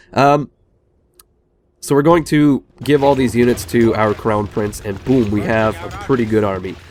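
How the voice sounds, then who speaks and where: A man keeps to a moderate pace while music plays in the background. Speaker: gaming youtuber. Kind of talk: let's play commentary. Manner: hesitant, many fillers.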